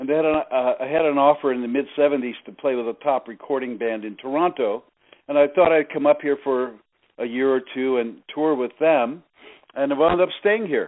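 With an American accent and an ordinary speaking voice, a man talks at a moderate pace, his fairly high pitch moving with ordinary variation. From US Northeast, New Jersey. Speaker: network marketing leader. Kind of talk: interview.

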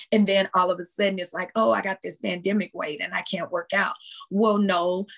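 Speaking fairly quickly, a woman uses a plain, everyday voice at a medium pitch with fairly even intonation. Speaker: fitness trainer; motivational speaker. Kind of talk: casual interview chat.

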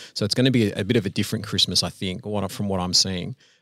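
A man speaks with an Australian accent in a fairly low voice, with ordinary pitch variation. The recording is very clean, with a silent background. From Australia, Sydney. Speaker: business owner. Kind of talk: casual interview.

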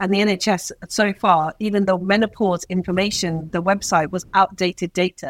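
At a moderate pace with hardly any pauses, a woman speaks in a medium pitch with monotone, flat intonation. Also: very clean recording, silent background. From Pakistan, raised in UK from age nine. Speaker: doctor. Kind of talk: interview.

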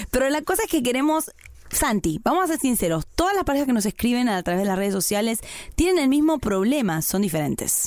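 At a very fast pace, a woman with a high pitch and an Argentine accent speaks with very wide pitch swings and very even loudness. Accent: Argentine Spanish (voseo). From Argentina. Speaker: podcast co-host. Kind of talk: casual chat.

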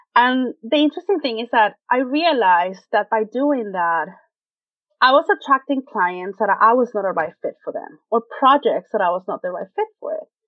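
A woman with a Spanish accent speaks at a moderate pace in a high voice, her pitch swinging very widely. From Venezuela. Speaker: web designer. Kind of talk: interview.

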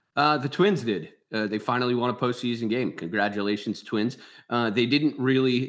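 A man with a Philadelphia accent at medium pitch, moderate pace and ordinary pitch variation. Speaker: baseball analyst and author. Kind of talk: sports analysis interview.

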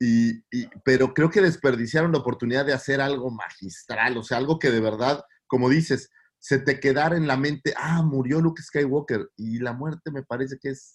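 The pace is moderate. Pitch variation is ordinary. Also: man, medium pitch for a man. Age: 40s. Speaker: podcast co-host. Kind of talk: casual chat.

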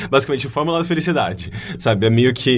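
The delivery comes at a very fast pace. Vocal fry runs through the voice. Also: man. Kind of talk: casual chat.

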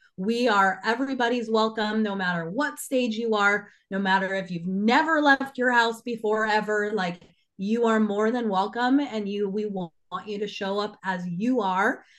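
In a quiet background, a woman with an unremarkable speaking voice speaks at a fairly slow pace, her fairly high pitch showing ordinary variation. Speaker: business owner and conference co-founder. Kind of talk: casual podcast interview.

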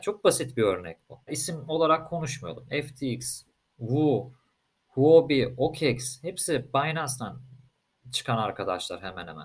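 At a fairly slow pace, a man with a medium pitch speaks with very wide pitch swings, big swings in loudness and vocal fry. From Turkey, Istanbul. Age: 20s. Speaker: crypto company co-founder. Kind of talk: casual interview.

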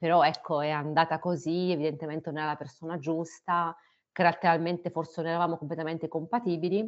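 A woman with a fairly low pitch speaks very fast in a monotone, flat intonation. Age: 30s. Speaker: biomedical researcher. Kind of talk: personal testimony. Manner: halting, with fillers.

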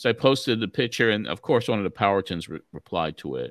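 In a very clean recording with a silent background and a dry, close sound with no echo, a man speaks with lively intonation and vocal fry. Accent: American. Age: 60s. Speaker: wrestling podcast host. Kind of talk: casual chat.

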